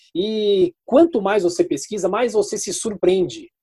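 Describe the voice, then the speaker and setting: Ordinary pitch movement runs through the speech. A man talks at a moderate pace. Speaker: radio journalist and news anchor. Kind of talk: interview.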